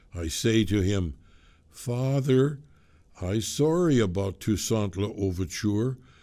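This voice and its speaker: Using a put-on character voice, a man talks fairly slowly at a fairly low pitch with lively intonation. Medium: read story. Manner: preaching, grandiose.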